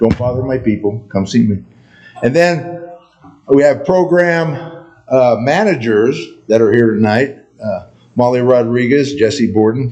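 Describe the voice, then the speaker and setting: Medium-pitched male voice at a fairly slow pace, broken by long, frequent pauses, with noticeable background noise. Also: ordinary pitch variation. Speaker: county emergency manager. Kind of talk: presentation to town board. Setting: town board meeting. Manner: casual, conversational.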